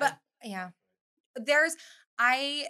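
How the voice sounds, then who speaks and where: With an American accent, a woman talks in a bright, sharp tone and a lively intonation. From California, Bakersfield. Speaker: photographer. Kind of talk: casual chat.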